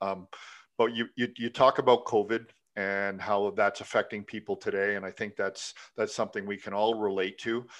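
Speaking at a moderate pace, a man with a Canadian accent keeps a flat, monotone intonation and a fairly low pitch. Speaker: podcast host and coach. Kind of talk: podcast interview. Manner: halting with many fillers.

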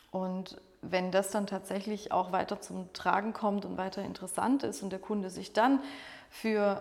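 A woman speaks at a moderate pace in a plain, everyday voice, her medium pitch showing ordinary pitch variation. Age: 40s. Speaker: catering sales manager. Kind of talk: podcast interview.

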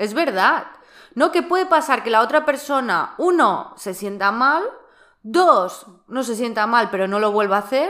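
A woman speaks at a fairly slow pace in a high pitch, her bright, sharp tone swinging very widely up and down. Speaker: personal development podcast host. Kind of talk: casual chat.

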